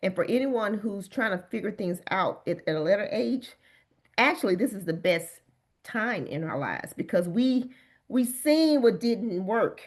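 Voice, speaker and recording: A plain, everyday voice speaks at a moderate pace against a quiet background. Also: woman, fairly high pitch for a woman, lively intonation. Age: 50s. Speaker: bodybuilder and wellness coach. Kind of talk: interview answer.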